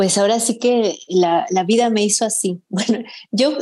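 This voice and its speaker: Speaking at a fairly slow pace, a woman uses a dark, mellow tone with ordinary pitch variation. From Mexico. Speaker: fiction writer. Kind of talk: interview.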